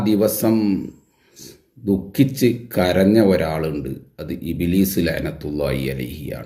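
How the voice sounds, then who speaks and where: A man's dark, mellow voice carries vocal fry, with audible room echo around it. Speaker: religious commentator. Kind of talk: polemical video monologue.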